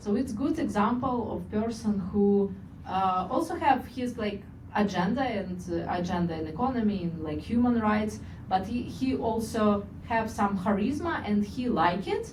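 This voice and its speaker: This woman uses lively intonation. The recording has noticeable background noise and audible room echo. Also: medium pitch for a woman, moderate pace. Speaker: political strategist. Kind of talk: book presentation talk. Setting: small room with audience.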